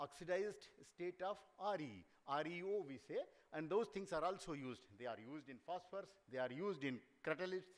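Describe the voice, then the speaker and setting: The man's voice is pitched high. His intonation moves in a lively way. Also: fairly quick pace. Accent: Indian. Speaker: seminar speaker on mining geology. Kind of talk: lecture.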